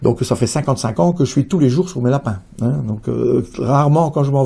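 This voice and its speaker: A man with a medium pitch speaks with a dark, mellow tone, somewhat breathy, with ordinary pitch variation. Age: 60s. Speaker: rabbit breeder and show judge. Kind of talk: interview. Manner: hesitant, many fillers.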